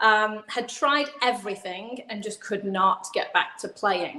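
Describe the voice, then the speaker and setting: A woman speaks with an English accent at a fairly high pitch. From England. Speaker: physical therapist. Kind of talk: video call interview. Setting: live video stream.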